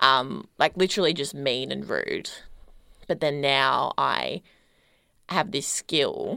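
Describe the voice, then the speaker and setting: Recorded very cleanly with a silent background, a woman with an Australian accent speaks at a very slow pace with long, frequent pauses. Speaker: podcast host. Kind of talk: casual chat.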